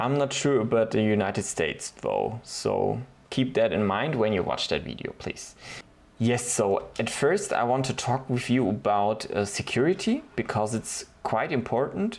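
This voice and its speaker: A man with a German accent speaks at a moderate pace, his pitch medium and its variation ordinary. Vocal fry runs through his voice. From Germany. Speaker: DIY video creator. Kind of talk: tutorial. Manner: hesitant, with fillers.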